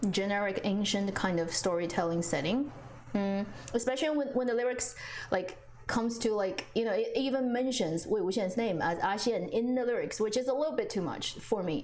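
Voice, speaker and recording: A woman with a Chinese accent speaks at a moderate pace in a fairly high pitch, her intonation lively and her loudness very even, with audible room echo and noticeable background noise. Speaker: drama reviewer, streamer. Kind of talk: live stream chat. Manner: casual, hesitant with fillers.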